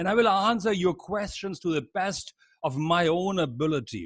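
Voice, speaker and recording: A man talks at a high pitch with ordinary pitch variation in a dry, close sound with no echo. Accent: German. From Germany. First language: German. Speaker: leadership trainer. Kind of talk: webinar lecture. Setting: video call.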